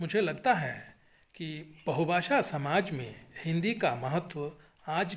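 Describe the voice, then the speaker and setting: Fairly high in pitch, a man speaks with a Kannada accent. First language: Kannada (speaking Hindi). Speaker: Hindi teacher and writer. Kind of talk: webinar talk. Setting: online webinar. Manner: formal.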